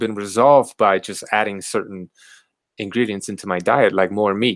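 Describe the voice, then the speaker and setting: A man with an American accent speaks at a fairly quick pace with ordinary pitch variation. He has a normal speaking voice. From Southern California. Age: 40s. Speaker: carnivore diet YouTuber. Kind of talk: casual chat.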